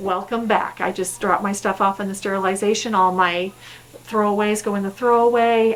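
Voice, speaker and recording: A woman's voice over noticeable background noise. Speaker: dental hygienist. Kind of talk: tutorial.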